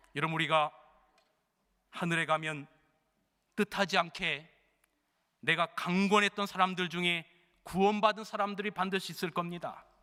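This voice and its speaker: With a bright, sharp tone and fairly even intonation, a man speaks in a high voice, pausing long and often, in a very clean recording with a silent background. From Chungcheong province, South Korea. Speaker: senior pastor. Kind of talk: sermon. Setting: church. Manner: fairly fast, not slow Chungcheong pace.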